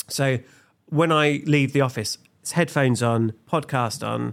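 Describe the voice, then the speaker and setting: On a very clean recording with a silent background, a man speaks with an East Anglian accent. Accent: English (East Anglia). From England, Suffolk (Felixstowe). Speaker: comedian and creative director. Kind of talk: casual chat.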